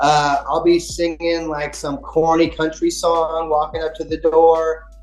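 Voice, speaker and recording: A man speaks in a fairly high pitch with a monotone, flat delivery. Noticeable background noise runs beneath his voice. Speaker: public adjuster. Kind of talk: casual chat. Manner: fast.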